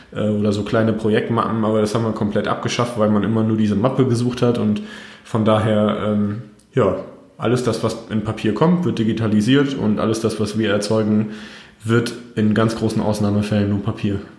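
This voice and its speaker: Audible room echo hangs around the voice. A man talks with fairly even intonation. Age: 30s. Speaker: company founder and managing director. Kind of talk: interview. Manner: frequent hesitations (ähm).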